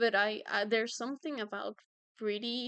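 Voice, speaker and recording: In a Spanish accent, a woman talks with fairly even intonation. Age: 20s. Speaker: streamer and artist. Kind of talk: casual chat. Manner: halting.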